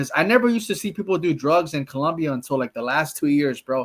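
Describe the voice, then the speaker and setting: A voice with a Mexican accent races along at a very fast pace, its pitch swinging very widely. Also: man. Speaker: travel vlogger. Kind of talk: casual chat. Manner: animated.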